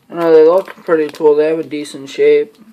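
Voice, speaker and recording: The voice mumbles. The pace is moderate. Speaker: fingerboarding hobbyist youtuber. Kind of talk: unboxing video. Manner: mumbling.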